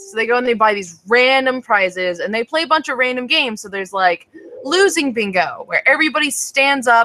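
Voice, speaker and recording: A woman's high-pitched, animated voice at a fairly quick pace, with lively intonation and big swings in loudness. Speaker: online show co-host and singer. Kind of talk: casual chat. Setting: video call livestream.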